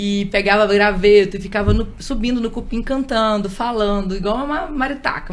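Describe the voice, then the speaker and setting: A woman's fairly high voice with ordinary pitch variation, plus audible room echo and noticeable background noise. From Espírito Santo, Brazil. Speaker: radio and event presenter. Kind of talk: interview.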